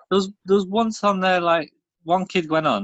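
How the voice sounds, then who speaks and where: A fairly quick pace, in a British accent. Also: man. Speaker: podcast co-host. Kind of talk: casual chat.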